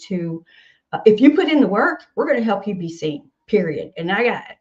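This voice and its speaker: A woman speaks with a Southern US accent at a medium pitch and moderate pace, her voice somewhat breathy. Her tone is animated, with very wide pitch swings. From US South, Nashville, Tennessee. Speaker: singer-songwriter and music organization founder. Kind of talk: podcast interview.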